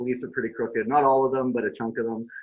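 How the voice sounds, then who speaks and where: With a Canadian accent, a man talks at a very fast pace with ordinary pitch variation. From Saskatchewan, Canada. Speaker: activist. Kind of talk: interview.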